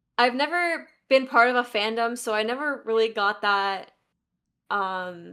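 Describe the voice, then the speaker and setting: Loud and fairly high-pitched, a woman speaks in a bright, sharp tone with ordinary pitch variation. The recording is very clean with a silent background. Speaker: Minecraft speedrunner and tournament organiser. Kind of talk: casual chat. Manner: halting.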